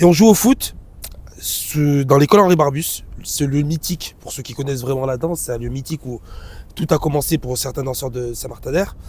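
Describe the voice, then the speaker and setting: Big swings in loudness and ordinary pitch variation at a moderate pace, with noticeable background noise. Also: man, fairly high pitch for a man. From Grenoble area, France. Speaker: dance director. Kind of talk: casual interview. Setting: outdoors on hilltop.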